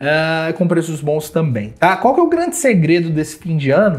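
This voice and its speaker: With a Brazilian accent, a man speaks at a moderate pace and a high pitch. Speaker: travel deals channel host. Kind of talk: street-seller style sales pitch, hyping deals, pushing viewers to subscribe and buy now. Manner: animated and persuasive, insistent. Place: home room.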